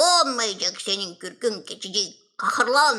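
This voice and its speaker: A cartoonish character voice, raspy and fairly high-pitched, moves at a fairly slow pace. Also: female-sounding voice. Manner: gentle, caring.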